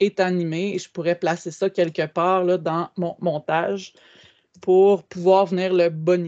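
Against a quiet background, a woman speaks at a very slow pace. Her fairly low voice has monotone, flat intonation. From Quebec. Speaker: educational technology trainer. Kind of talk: webinar tutorial. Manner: hesitant with frequent fillers. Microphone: video call.

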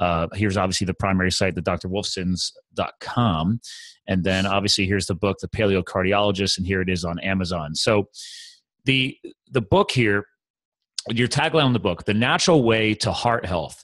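In a normal speaking voice, a man talks at a moderate pace with a fairly low pitch, ordinary pitch variation and a dry sound with no echo. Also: quiet background. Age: 40s. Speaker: podcast host. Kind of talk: casual interview chat. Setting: call. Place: home room. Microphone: studio mic.

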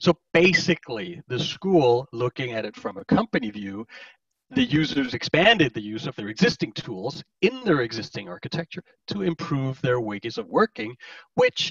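A man with a Danish accent speaks at a moderate pace with a fairly high pitch, vocal fry, very wide pitch swings and big swings in loudness, the sound dry and close with no echo. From Denmark. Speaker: enterprise architect. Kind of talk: conference presentation. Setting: virtual conference.

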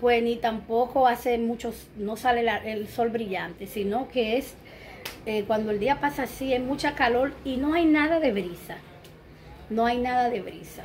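A woman with a high pitch talks at a fairly slow pace, using ordinary pitch variation over light background noise. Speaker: home vlogger. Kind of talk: casual vlog chat. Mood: warm, relaxed. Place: home room. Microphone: phone near.

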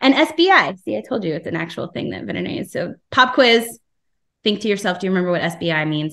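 Against a quiet background, a voice with an American accent and vocal fry moves at a fairly quick pace through very wide pitch swings. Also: woman. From New Jersey. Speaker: aquatic veterinarian; presenter. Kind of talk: lecture. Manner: animated. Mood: friendly, enthusiastic. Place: home room. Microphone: video call.

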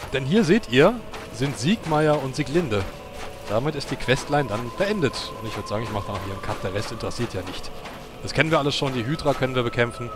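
A man races through his words at a very fast clip, with noticeable background noise behind him. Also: medium pitch for a man, lively intonation. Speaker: gaming let's player. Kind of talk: gameplay commentary. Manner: halting.

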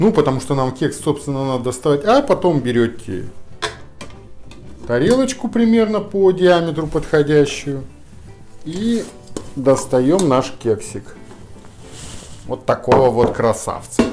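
Faint music plays in the background as a man speaks at a fairly slow pace with long, frequent pauses. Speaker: home cooking host. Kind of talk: tutorial. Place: kitchen.

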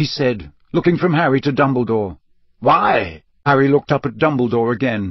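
The pitch moves in an ordinary way during this plain reading aloud.

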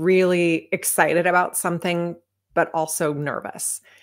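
A woman speaks with an American accent at a moderate pace, her pitch fairly low. Her intonation is flat and monotone, and the background is quiet. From United States. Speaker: retired fighter pilot and author. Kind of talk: interview. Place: home room.

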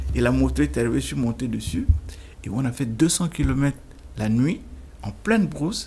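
A man talks at a moderate speed, with light noise in the background. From Central African Republic (Bangui). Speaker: lawyer and former minister; lawyer, former minister. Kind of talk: interview. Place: studio. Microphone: studio mic.

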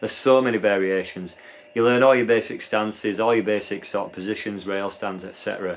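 In a British accent, a man speaks fairly quickly, his fairly low pitch carrying fairly even intonation. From UK. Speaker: skateboarder and video creator. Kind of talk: casual vlog monologue. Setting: outdoors at skate park. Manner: casual, filler-heavy. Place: home room.

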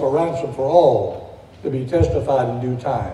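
The room echo is audible. A man speaks with ordinary pitch variation. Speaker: preacher. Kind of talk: sermon. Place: church. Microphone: podium.

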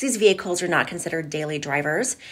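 Over a quiet background, a woman talks at a very fast pace in a fairly low voice with ordinary pitch variation. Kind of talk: informational vlog talk to viewers. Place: office. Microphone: phone near.

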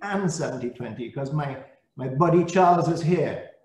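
Audible room echo carries a man's fairly high voice at a fairly slow pace. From Saint Lucia. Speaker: service-club district leader. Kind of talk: greeting speech. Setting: video call. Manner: animated. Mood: warm, encouraging. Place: office. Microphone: video call.

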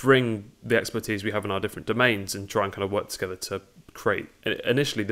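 A man with a normal speaking voice and a fairly low pitch. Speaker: guest. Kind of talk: interview answer. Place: home room.

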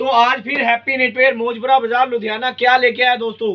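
A man's extremely high pitch at a fairly quick pace, with fairly even intonation.

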